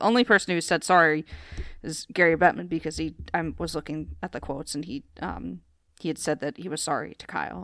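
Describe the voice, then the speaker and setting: This woman has a fairly low pitch with vocal fry. She talks at a fairly quick pace with ordinary pitch variation. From US, Pennsylvania. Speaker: hockey writer and podcast co-host. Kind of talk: casual chat.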